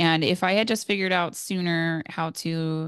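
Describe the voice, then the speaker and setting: A woman's fairly low voice with fairly even intonation, a plain, everyday voice. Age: 20s. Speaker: new mother sharing breastfeeding story. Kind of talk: interview testimony.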